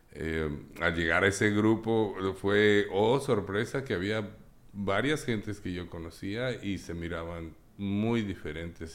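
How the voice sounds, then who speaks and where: In a plain, everyday voice, a man speaks at a fairly slow pace with fairly low pitch and ordinary pitch variation. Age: 50s. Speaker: recovering addict and psychologist. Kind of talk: testimony.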